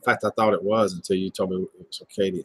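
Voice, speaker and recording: A man speaks with a Southern US accent. The sound is dry and close, with no echo. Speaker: livestream host. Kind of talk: casual chat. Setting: livestream video call.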